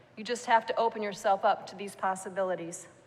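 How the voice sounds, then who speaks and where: A woman with an American accent talks at a fairly quick pace in a normal speaking voice with fairly even intonation. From US Midwest, Iowa. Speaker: university executive. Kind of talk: ceremonial speech. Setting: town hall with audience. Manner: formal.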